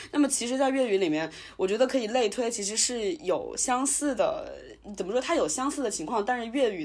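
A woman's fairly high voice at a fairly quick pace, with very wide pitch swings. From Wuhan, China. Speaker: podcast host. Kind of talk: casual chat.

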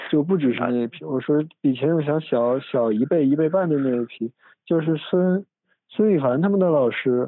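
A man's fairly high voice, with ordinary pitch variation, keeps a moderate pace. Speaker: podcast host. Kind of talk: casual chat. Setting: recorded at family home. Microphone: phone instead of microphone, low quality.

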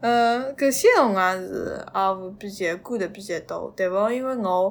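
A woman with a medium pitch, lively intonation, and a fairly slow pace. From Suzhou, China. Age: 20s. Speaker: podcast guest, graduate student. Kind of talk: personal storytelling in Suzhou dialect. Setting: face-to-face recording.

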